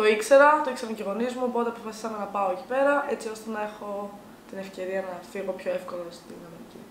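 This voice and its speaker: A woman speaks very fast in a fairly high voice, her pitch varying in an ordinary way. Her loudness swings widely, and background noise is noticeable. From Greece, Chalkidiki village. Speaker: college student. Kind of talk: casual interview.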